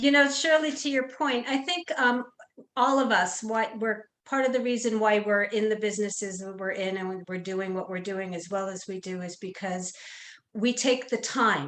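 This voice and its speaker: Here is an unremarkable speaking voice with lively intonation. It keeps a moderate pace. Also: woman, fairly high pitch for a woman. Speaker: senior care panelist. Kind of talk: panel discussion. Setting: virtual seminar.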